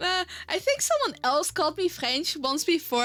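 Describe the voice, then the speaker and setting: A woman with a slight Dutch accent speaks in a raised, projected voice at a moderate pace. Her tone is bright, sharp and animated. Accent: faint Dutch. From Netherlands. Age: adult. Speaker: streamer. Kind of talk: casual chat. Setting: live stream.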